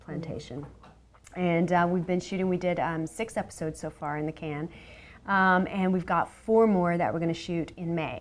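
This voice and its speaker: On a very clean recording with a silent background, a woman speaks with a Southern accent. Her voice is fairly low and her pace fairly quick. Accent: Southern, natural. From Louisiana, New Orleans. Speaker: actress and TV host. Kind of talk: interview chat. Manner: animated.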